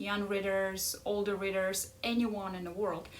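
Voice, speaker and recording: A woman with a strong Ukrainian accent and a medium pitch speaks at a very slow pace amid audible room echo. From Ukraine. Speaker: life coach. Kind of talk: casual chat.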